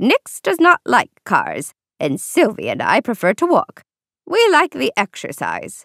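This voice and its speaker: A woman's put-on character voice, cackling and dramatic, extremely high-pitched with very wide pitch swings, at a fairly slow pace, in a dry, close sound with no echo. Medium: read story. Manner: crisp, old-fashioned, dramatic.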